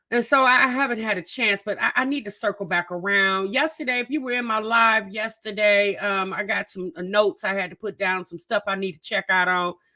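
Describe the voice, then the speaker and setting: Speaking at a fairly quick pace, a woman with a medium pitch sounds animated, with a bright, sharp tone and lively intonation on a very clean recording with a silent background. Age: 50s. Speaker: YouTube reaction streamer. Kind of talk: casual live stream chat.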